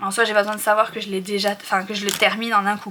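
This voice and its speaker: A woman talking fairly quickly over noticeable background noise. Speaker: budgeting YouTuber. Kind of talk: tutorial. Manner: fast.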